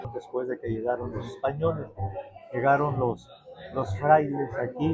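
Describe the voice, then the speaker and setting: Music plays in the background as a man talks at a fairly slow pace. His pitch is medium, with ordinary variation. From Mexico City area (Tlalpan since age 13). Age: 70s. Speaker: chronicler and economist. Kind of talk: interview.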